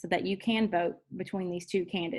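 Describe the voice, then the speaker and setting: A woman speaks at a medium pitch with fairly even intonation. She has an unremarkable speaking voice. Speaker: high school teacher and association president. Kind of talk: tutorial.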